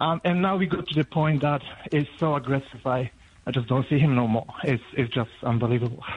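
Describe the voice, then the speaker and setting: Medium in pitch with ordinary pitch variation, a man speaks with a Polish accent. His voice is somewhat breathy, and his pace fairly quick. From Poland. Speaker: radio caller. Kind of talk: radio phone-in call. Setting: phone call. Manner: halting, many fillers.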